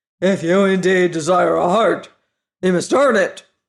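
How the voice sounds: Putting on a gruff character voice, a man speaks high at a moderate pace.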